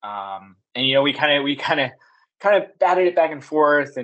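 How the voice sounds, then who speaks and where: With a fairly quick pace and ordinary pitch variation, this is a normal speaking voice. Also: man. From US West (Las Vegas). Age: 30s. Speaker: sales manager. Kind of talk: casual chat.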